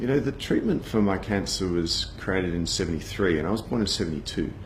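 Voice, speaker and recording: A man's fairly low voice in an Australian accent, with lively intonation, a fairly quick pace and audible room echo. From Australia, Sydney (Bondi). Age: 40s. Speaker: cancer survivor, advertising agency founder. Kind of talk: personal testimony. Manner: casual, conversational with fillers.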